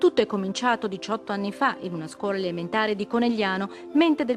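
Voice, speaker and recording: Over music in the background, a woman talks very fast. Her medium-pitched voice has lively intonation. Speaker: TV news reporter. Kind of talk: TV news report narration.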